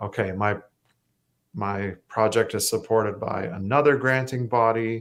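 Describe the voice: A man's fairly low, fairly bright voice at a fairly slow pace, with fairly even intonation.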